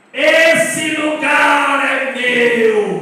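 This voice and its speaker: A man puts on a gruff character voice pitched extremely high, with strong echo around it. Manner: possessive, menacing.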